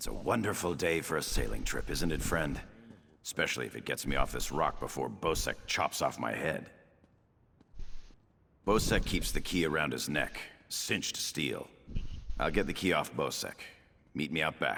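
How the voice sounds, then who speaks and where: A man speaks in a put-on character voice, very deep and low, at a moderate pace broken by long, frequent pauses. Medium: video game.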